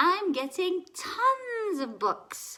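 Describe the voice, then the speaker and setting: An extremely high put-on character voice with very wide pitch swings. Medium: read story.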